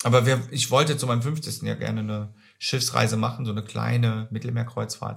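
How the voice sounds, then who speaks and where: The recording is very clean with a silent background. A man speaks at a fairly quick pace. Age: 50s. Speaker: social insurance clerk. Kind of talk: casual chat.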